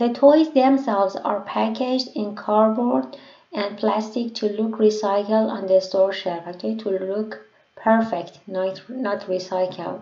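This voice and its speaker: Speaking with a non-native accent, a woman keeps a fairly slow pace and a medium pitch with ordinary pitch variation. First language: not English. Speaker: English learner sharing listening practice. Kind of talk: casual tutorial talk to camera. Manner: hesitant, with fillers.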